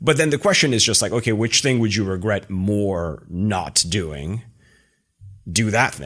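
A man's fairly low voice with lively intonation, on a very clean recording with a silent background. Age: 40s. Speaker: tech executive and former startup founder. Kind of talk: casual interview conversation. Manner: fast talker.

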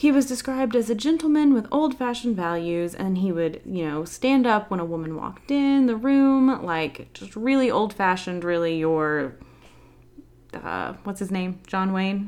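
The speaker talks in a Southern US accent. The pitch swings very widely. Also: woman, medium pitch for a woman, moderate pace. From US South. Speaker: podcast host. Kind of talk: casual chat.

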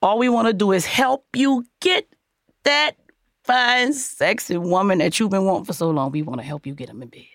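A woman at medium pitch speaks in an animated tone with very wide pitch swings at a moderate pace, the sound dry and close with no echo. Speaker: podcast host. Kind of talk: casual chat with relationship advice. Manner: animated, sassy.

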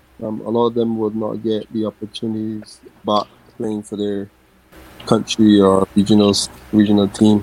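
Over noticeable background noise, a man with a fairly low pitch talks in a flat monotone at a moderate pace, leaving long, frequent pauses. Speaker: cricketer. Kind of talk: casual chat.

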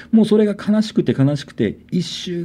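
Somewhat breathy and dark, mellow in tone, a man talks at a fairly slow pace. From Niijima, Tokyo islands, Japan. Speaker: artist, bassist and PE teacher. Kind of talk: ghost story telling.

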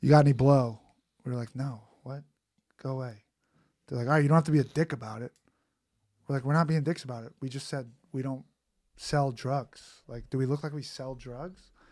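Spoken at a fairly quick pace in a New York accent, the voice has fairly even intonation, big swings in loudness and long, frequent pauses, on a very clean recording with a silent background. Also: man, medium pitch for a man. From Queens, New York City. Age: 30s. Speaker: comedian. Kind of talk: casual chat. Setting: studio.

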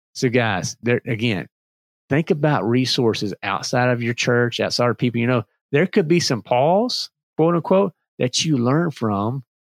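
In a Southern US accent, a man talks at a moderate pace and medium pitch with lively intonation. The sound is dry and close with no echo, on a very clean recording with a silent background. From Virginia and North Carolina. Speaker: podcast host. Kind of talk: solo podcast talk. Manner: animated.

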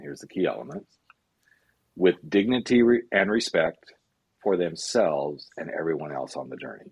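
Very deep, low male voice with vocal fry, very wide pitch swings, a moderate pace and long, frequent pauses. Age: 50s. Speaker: life coach. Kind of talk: casual chat.

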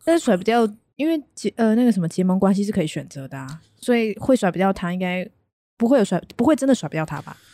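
Talking at a very fast pace, a woman with a medium pitch makes very wide pitch swings. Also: big swings in loudness. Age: 20s. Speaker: podcast co-host and content writer. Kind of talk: casual chat.

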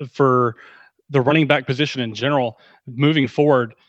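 With an American accent and an unremarkable speaking voice, a man speaks at a fairly quick pace and a fairly high pitch. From Texas, Dallas area. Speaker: fantasy football analyst. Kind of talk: casual chat.

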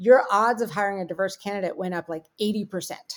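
A woman with an American accent has an ordinary speaking voice at medium pitch. Her intonation is lively. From US, Pittsburgh. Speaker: tech company CEO. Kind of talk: interview conversation.

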